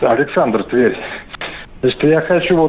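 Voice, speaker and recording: A man's voice with noticeable background noise. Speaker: caller. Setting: phone call.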